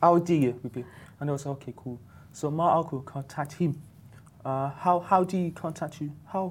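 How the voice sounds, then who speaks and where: His voice is fairly high for a man and somewhat breathy. A man keeps his intonation fairly even. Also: moderate pace, very clean recording, silent background. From UK. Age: young. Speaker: deaf entrepreneur in crypto design and marketing. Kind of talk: interview.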